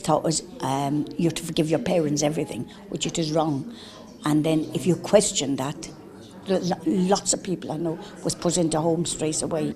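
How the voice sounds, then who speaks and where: Ordinary pitch variation in an Irish accent, with noticeable background noise. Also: woman. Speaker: care-home survivor. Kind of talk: TV interview testimony.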